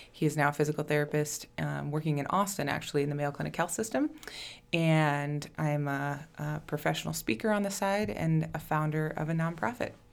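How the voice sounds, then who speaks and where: A woman's very deep, low voice with an Upper Midwest accent, at a fairly quick pace with ordinary pitch variation. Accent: Upper Midwest (Minnesota). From southern Minnesota. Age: 20s. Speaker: nonprofit founder, childhood cancer survivor. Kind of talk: casual interview.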